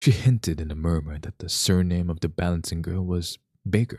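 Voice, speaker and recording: Calm and somewhat breathy, a man with a very deep, low voice and a dark, mellow tone talks at a moderate pace with ordinary pitch variation, on a very clean recording with a silent background and a dry, close sound with no echo. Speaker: ASMR reader. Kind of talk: reading aloud.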